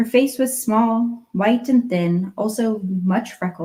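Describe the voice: Plain reading aloud, the voice shows ordinary pitch variation.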